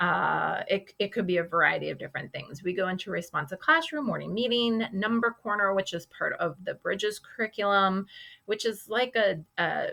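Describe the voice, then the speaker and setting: A woman's medium-pitched voice, bright and sharp in tone, at a moderate pace with hardly any pauses and ordinary pitch variation, on a very clean recording with a silent background. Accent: American. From Boston, US. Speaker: kindergarten teacher. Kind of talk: recorded class presentation for parents. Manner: casual with many fillers.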